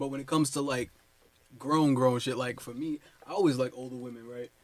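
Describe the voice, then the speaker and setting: Using a normal speaking voice, a man speaks at a fairly quick pace and medium pitch with fairly even intonation and big swings in loudness. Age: 20s. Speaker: artist. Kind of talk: casual chat.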